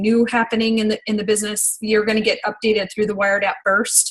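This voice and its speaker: A woman's fairly high-pitched voice. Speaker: network marketing team leader. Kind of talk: training call. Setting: video call. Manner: hesitant, many fillers.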